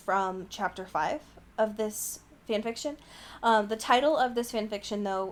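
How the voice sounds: This is a natural reading voice. The words come out in a natural reading voice.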